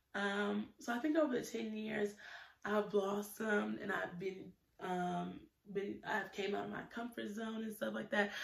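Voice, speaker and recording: At a fairly slow pace, a woman talks with audible room echo around her. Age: 20s. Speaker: YouTuber, student; YouTuber. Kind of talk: casual vlog monologue. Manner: hesitant, many fillers. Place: home room. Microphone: phone near.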